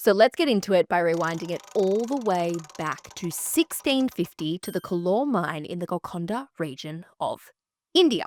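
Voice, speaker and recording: A woman at medium pitch speaks at a moderate pace with lively intonation. The sound is dry and close, with no echo. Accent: Australian. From Australia. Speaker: history podcast host. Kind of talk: casual history podcast narration. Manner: animated.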